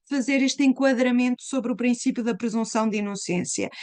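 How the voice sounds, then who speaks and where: A high-pitched woman with a European Portuguese accent, moderate pace and ordinary pitch variation, against a quiet background. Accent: closed European Portuguese. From Portugal. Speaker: law professor. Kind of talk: lecture. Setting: live online webinar.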